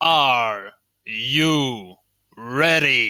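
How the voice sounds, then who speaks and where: A man puts on a character voice. His pitch is fairly high. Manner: dramatic, hyping the crowd.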